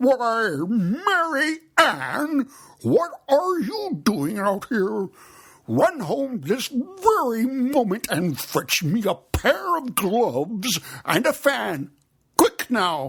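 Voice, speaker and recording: In a put-on character voice, a man talks at a very slow pace, pitched extremely high and swinging very widely in pitch. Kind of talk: imperious, hurried. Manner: angry, bossy.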